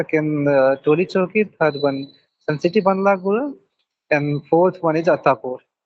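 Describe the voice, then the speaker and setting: Speaking with an Indian accent, a man uses a high pitch and ordinary pitch variation. His pace is moderate and his loudness very even. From India, Bihar. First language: Maithili. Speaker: hotel restaurant manager. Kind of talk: English speaking practice conversation. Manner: halting.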